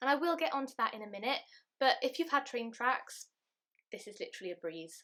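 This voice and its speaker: A woman with a British accent, at a fairly quick pace. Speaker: beauty and lifestyle vlogger. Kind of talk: casual vlog talk to camera. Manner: chatty.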